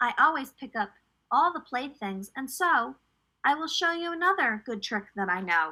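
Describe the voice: A woman's put-on character voice, high-pitched and bright and sharp in tone, with big pitch swings and a moderate pace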